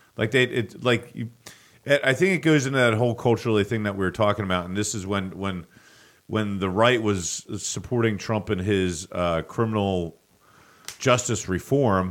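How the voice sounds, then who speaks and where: In an ordinary speaking voice with an American accent, a man talks at a moderate pace and fairly low pitch, with ordinary pitch variation, on a very clean recording with a silent background. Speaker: local news podcast host. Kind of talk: casual chat.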